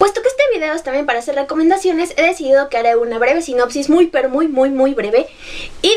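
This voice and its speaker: Against noticeable background noise, a woman with a high pitch speaks at a very fast pace. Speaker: book vlogger. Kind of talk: book review vlog. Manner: animated.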